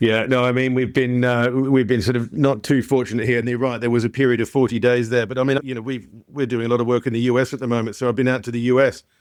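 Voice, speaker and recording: In a slight Australian accent, the speaker rushes at a very fast pace with hardly any pauses and a monotone, flat intonation. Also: man, medium pitch for a man. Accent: slight Australian twang. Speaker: insurance tech company founder and CEO. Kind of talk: podcast interview.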